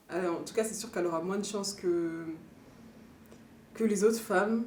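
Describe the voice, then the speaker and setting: A woman at a medium pitch and moderate pace, with fairly even intonation, big swings in loudness and audible room echo. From northeastern France. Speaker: documentary interviewee. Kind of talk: interview testimony. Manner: hesitant.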